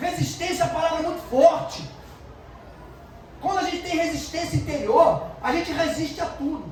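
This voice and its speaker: A loud man with an extremely high pitch speaks at a moderate pace with fairly even intonation and long, frequent pauses, amid audible room echo. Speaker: pastor. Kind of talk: sermon.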